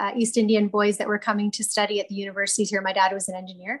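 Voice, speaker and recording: A woman speaks very fast in a somewhat breathy voice. The background is quiet. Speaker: candidate, remote guest. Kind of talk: interview answer. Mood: emotional, personal storytelling. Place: office. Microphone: video call.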